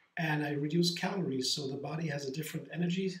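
A man's high-pitched voice at a moderate pace, with audible room echo. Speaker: home juicing vlogger. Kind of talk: casual vlog chat. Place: kitchen. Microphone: camera far.

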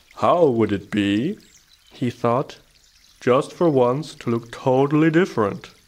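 Intonation here is lively. It comes in an unforced reading voice.

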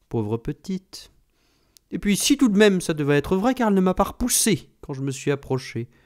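This man has a plain, everyday voice, talking at a moderate pace with lively intonation. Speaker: audiobook narrator. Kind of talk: literary audiobook reading, third-person narration with quoted dialogue. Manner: measured, storytelling pace, shifting into character voices for dialogue.

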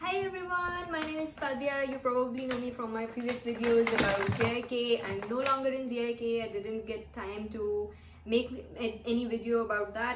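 A high-pitched woman's voice amid noticeable background noise. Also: ordinary pitch variation, moderate pace. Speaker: vlogger, former lecturer. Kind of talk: casual vlog chat. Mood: excited and cheerful. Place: home room. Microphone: camera far.

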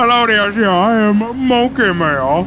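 Over clear background noise, a woman uses a put-on character voice with fairly high pitch at a fairly slow pace. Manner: exaggerated, goofy.

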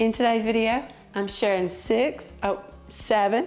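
A woman's put-on character voice, raspy and hoarse, fairly high in pitch and at a fairly slow pace, with clear music in the background. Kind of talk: casual vlog chat.

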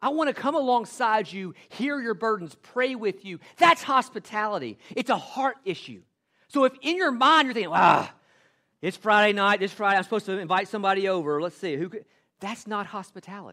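In a Southern US accent, a raised, projected voice with a bright, sharp tone and lively intonation moves at a fairly quick pace on a very clean recording with a silent background. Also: man, high pitch for a man. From US South, western Tennessee. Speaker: pastor. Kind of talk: sermon. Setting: church.

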